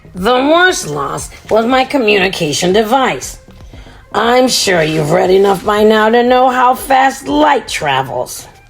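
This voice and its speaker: Over clear music in the background, a woman puts on a raspy character voice with a fairly high pitch and very wide pitch swings, speaking at a fairly slow pace. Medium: read story. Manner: cheerful, calm.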